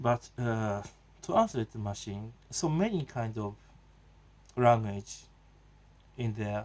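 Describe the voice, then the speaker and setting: This man speaks at a very slow pace with a Japanese accent. Long, frequent pauses break up his speech. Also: medium pitch for a man, ordinary pitch variation. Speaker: video blogger. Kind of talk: casual monologue. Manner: halting, many fillers.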